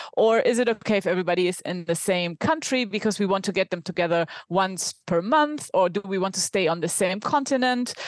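A woman with a German accent, medium pitch, lively intonation and a fairly quick pace with hardly any pauses. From Germany. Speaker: remote work consultant and product leader. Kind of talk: interview conversation.

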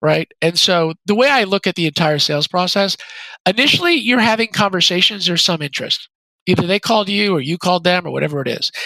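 With ordinary pitch variation, a man speaks in a voice that sits high for a man. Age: 40s. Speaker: venture capitalist, former software executive. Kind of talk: interview.

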